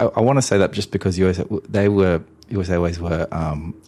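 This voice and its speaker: With an Australian accent, a man talks in a very deep, low pitch and fairly even intonation. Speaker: airline loyalty industry executive. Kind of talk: interview.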